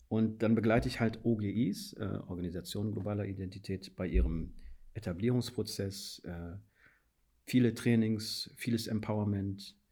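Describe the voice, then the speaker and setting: At a moderate pace, a man with a fairly low pitch and a dark, mellow, somewhat breathy tone speaks with fairly even intonation. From Guinea. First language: Fula (speaking German). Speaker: policy adviser and anti-racism trainer. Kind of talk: interview. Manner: halting, many fillers.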